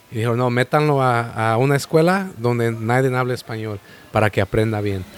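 There is noticeable background noise in this clip. A man speaks with ordinary pitch variation. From Sacramento, raised from age five, born in Mexico. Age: 30s. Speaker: restaurant owner. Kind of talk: casual chat.

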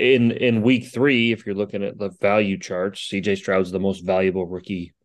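Here is a normal speaking voice from a man, fairly low in pitch. His intonation stays fairly even, and the background is quiet. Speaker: fantasy football podcast co-host. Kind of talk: casual sports chat.

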